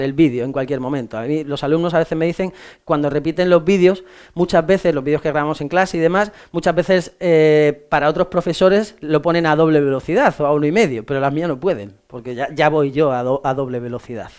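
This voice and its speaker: With ordinary pitch variation, a man at a fairly high pitch moves through his words at a fairly quick pace. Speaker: law exam tutor. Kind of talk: lecture. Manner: fast; casual, halting with fillers.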